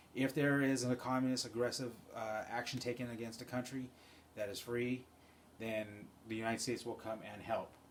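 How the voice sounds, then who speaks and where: In a room with audible echo, a man at medium pitch talks at a fairly quick pace with long, frequent pauses and monotone, flat intonation. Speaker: college instructor. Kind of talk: recorded lecture. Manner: fast; casual, filler-heavy.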